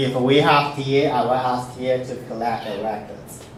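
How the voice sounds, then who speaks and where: A man speaks at a fairly slow pace. Noticeable background noise and audible room echo fill the recording. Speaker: university professor. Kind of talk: lecture. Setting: classroom. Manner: halting, frequent fillers.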